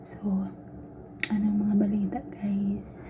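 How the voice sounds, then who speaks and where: Noticeable background noise surrounds the recording. A soft-spoken woman talks at a medium pitch. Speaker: vlogger, overseas domestic worker. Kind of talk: casual vlog talk. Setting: laundry room. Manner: soft-spoken, quiet.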